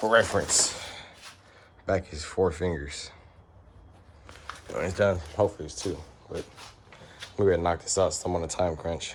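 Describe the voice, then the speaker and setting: A man with a very deep, low pitch speaks at a moderate pace with fairly even intonation, big swings in loudness and long, frequent pauses. Noticeable background noise is present. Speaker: car enthusiast vlogger. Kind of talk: casual vlog. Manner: halting.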